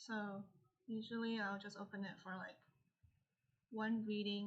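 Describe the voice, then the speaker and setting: A woman mumbles quietly at a moderate pace, her somewhat breathy voice keeping fairly even intonation. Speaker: livestreamer and artist. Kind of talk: casual livestream chat while drawing. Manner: mumbling. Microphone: poor audio, old mic.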